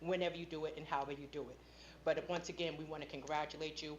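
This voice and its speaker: The woman's intonation is monotone and flat. She talks at a very fast pace. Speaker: school board member. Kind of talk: public meeting speech. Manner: loud.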